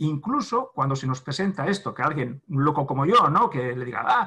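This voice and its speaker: A man talks at a moderate pace with very wide pitch swings and a bright, sharp tone. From Spain, Navarre (Pamplona). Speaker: therapist. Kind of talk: interview. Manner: halting.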